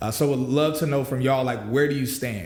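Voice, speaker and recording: Noticeable background noise runs under this recording. A man speaks very fast at a medium pitch. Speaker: podcast host. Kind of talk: casual talk to camera. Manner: casual, upbeat.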